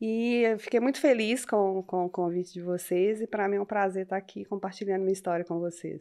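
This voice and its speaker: Against a quiet background, a woman with a Minas Gerais accent speaks fairly quickly with hardly any pauses. Her medium-pitched voice has a dark, mellow tone and fairly even intonation. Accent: Minas Gerais (mineiro). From Minas Gerais, Brazil (Belo Horizonte, from 17); born interior of Rio. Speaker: professional woman in a male-dominated field. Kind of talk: casual podcast interview.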